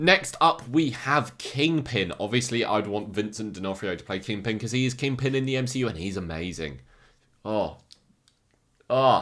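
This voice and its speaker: A man in an English accent, medium pitch, moderate pace and lively intonation. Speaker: YouTuber ranking movie villains. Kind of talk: casual commentary video. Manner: animated.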